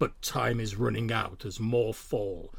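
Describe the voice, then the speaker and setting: A man performs a put-on character voice. It sits at a fairly low pitch. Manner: dramatic, theatrical.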